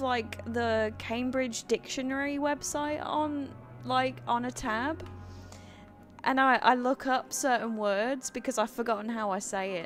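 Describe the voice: A woman with a high voice and an American accent speaks at a fairly slow pace with ordinary pitch variation. Music plays in the background.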